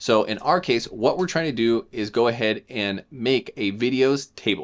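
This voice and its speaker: A man speaks with a medium pitch. His pitch variation is ordinary. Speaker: software tutorial creator. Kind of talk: coding tutorial. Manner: fast.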